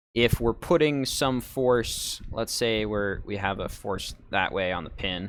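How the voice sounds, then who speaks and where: On a very clean recording with a silent background, a man has an ordinary speaking voice at a fairly low pitch with ordinary pitch variation. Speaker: engineering seminar instructor. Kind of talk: lecture. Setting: live stream with audio call.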